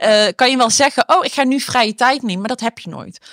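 A woman speaks at a fairly quick pace in a bright, sharp tone. The recording is very clean with a silent background, and the sound is dry and close with no echo. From Eindhoven, Netherlands. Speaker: entrepreneur and shoe designer. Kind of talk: interview conversation.

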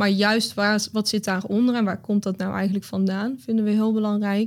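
A woman speaks at medium pitch and a moderate pace. Her intonation is monotone and flat. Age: 20s. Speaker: business coach. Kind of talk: interview conversation. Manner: hesitant, many fillers.

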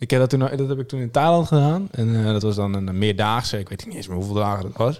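At a very fast pace with hardly any pauses, a man speaks at a medium pitch with lively intonation. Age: 20s. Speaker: podcast co-host. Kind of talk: casual chat.

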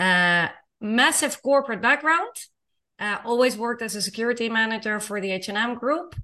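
A woman's fairly high, bright, sharp voice with a Dutch accent, at a moderate pace with ordinary pitch variation, against a quiet background. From Netherlands. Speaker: intercultural consultant. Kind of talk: casual interview. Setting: video call.

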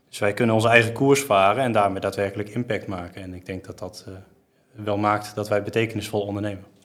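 A man talks at a very fast pace with a fairly low pitch. His intonation stays fairly even while his loudness swings widely. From Netherlands, Geldermalsen (Betuwe). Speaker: commercial manager at a car dealership group. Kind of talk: business podcast interview. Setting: studio, sitting at a table.

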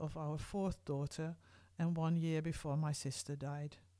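This dark, mellow voice moves at a fairly slow pace with fairly even intonation, captured in a very clean recording with a silent background. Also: woman. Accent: Dutch. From Netherlands, Groningen. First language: Dutch. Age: 50s. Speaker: podcast host, medical anthropologist. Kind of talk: personal storytelling.

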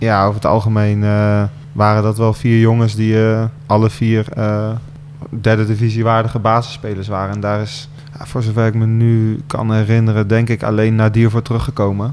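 A man talking at a fairly quick pace in a flat monotone, with noticeable background noise. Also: medium pitch for a man. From Gelderland, Netherlands (Otterlo). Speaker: football team captain. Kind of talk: radio interview. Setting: club boardroom.

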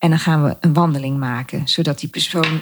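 A woman has an ordinary speaking voice. Her pace is moderate, and her pitch varies in an ordinary way. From Netherlands, Gelderland (Dieren). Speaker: podcast host, photographer and designer. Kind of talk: personal monologue.

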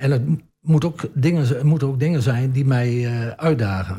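A somewhat breathy man speaks at medium pitch with ordinary pitch variation on a very clean recording with a silent background. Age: 70s. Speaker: municipal councillor. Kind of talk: radio interview. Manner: halting, many repetitions and fillers.

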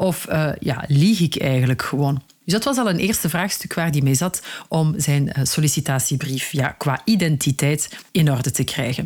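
At a moderate pace, a woman with a Flemish accent speaks in a very deep, low pitch, with very even loudness and ordinary pitch variation. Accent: Flemish Dutch. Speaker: career coach and podcast host. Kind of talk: solo advice podcast.

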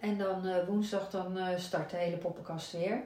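Amid noticeable background noise and audible room echo, a woman speaks at a medium pitch with monotone, flat intonation. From Zeeland, Netherlands (Zierikzee). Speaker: mother and entrepreneur. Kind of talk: casual chat.

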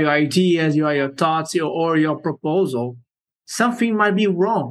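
This man talks at a moderate pace with ordinary pitch variation. His pitch is fairly high, and he has a Portuguese accent. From Brazil. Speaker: software engineer. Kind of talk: interview. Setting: video call.

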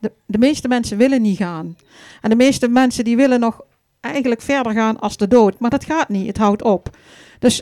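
This woman has an ordinary speaking voice, fairly high in pitch. Her pitch varies in an ordinary way, and her pace is moderate. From Vierlingsbeek, Dutch Limburg. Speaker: funeral celebrant. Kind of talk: live stage interview. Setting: stage with audience.

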